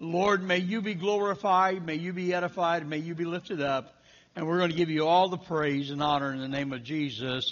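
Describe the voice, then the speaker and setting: Speech moves at a moderate pace over a quiet background. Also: man. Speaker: pastor. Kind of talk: prayer and announcements. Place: church.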